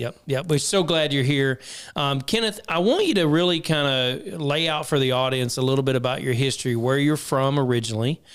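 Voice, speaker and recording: With a plain, everyday voice and a fairly high pitch, a man talks at a fairly quick pace with hardly any pauses. His loudness stays very even and his pitch variation is ordinary. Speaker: podcast host. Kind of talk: podcast interview, casual talk.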